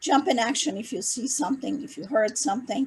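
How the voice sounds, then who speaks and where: A woman talks with ordinary pitch variation. Her voice is somewhat breathy. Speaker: event organizer. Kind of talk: presentation on video call. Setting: video call.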